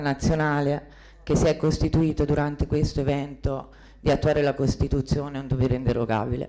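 Against a quiet background, a woman speaks with a very deep, low pitch and fairly even intonation. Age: 20s. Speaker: health committee president. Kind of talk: self-introduction at assembly. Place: hall. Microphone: handheld.

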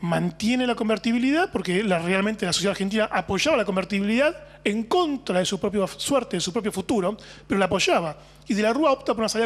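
Here a man speaks at a fairly quick pace with a high pitch. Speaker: author or journalist guest. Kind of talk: interview answer. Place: home room. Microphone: handheld.

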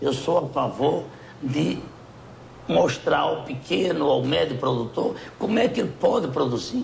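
A man speaks fairly slowly at a fairly high pitch, leaving long, frequent pauses. His pitch swings very widely over light background noise. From Portugal. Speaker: businessman and political candidate; interview guest. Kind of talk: interview. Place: home room. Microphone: lapel.

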